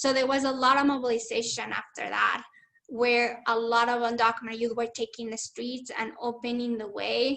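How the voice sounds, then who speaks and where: A high-pitched woman's voice in a Spanish accent with monotone, flat intonation. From Mexico, Chihuahua. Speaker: community organizer and activist. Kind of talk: webinar talk.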